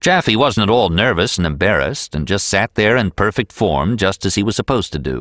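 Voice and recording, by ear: The clip is reading aloud in a natural voice, carried by lively intonation.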